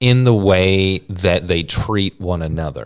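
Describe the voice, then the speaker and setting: A man speaks very slowly in a very deep, low voice with a Southern US accent. His pitch varies in an ordinary way, and the recording is very clean with a silent background. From US South, Georgia. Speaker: missionary. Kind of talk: interview conversation. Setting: office.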